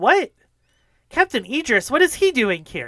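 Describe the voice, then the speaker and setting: A put-on character voice speaks at a high pitch. The recording is very clean, with a silent background. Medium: actual play. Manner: blunt, impatient.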